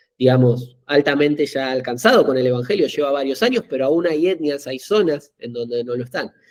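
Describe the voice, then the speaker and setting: Hardly any pauses break up this fairly quick pace of speech. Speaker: missionary trainer. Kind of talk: interview.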